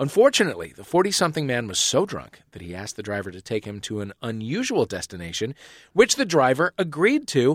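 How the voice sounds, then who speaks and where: A man with an American accent talks at a very fast pace and medium pitch, with vocal fry, very wide pitch swings and big swings in loudness. The recording is very clean, dry and close, with a silent background and no echo. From United States. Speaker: comedy panel show host. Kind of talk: comedy panel show. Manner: animated.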